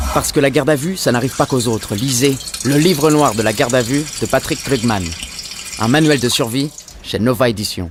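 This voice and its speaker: In a plain, everyday voice, a man talks at medium pitch and a fairly quick pace with ordinary pitch variation. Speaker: voice actor. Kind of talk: radio commercial read.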